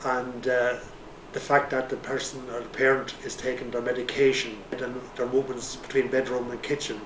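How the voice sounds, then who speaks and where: A man with an Irish accent talks at a moderate pace and medium pitch. Audible room echo and noticeable background noise are present. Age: 60s. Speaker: retiree. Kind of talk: testimony. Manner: halting.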